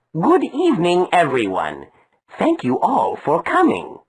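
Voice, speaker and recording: A cartoonish character voice delivers its lines at a fairly slow pace. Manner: earnest.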